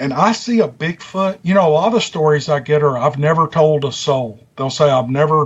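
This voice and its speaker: Somewhat breathy, a man speaks at a fairly high pitch. His pace is moderate and his pitch varies in an ordinary way. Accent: strong Southern US. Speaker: YouTube story narrator. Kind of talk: casual interview chat. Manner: talkative.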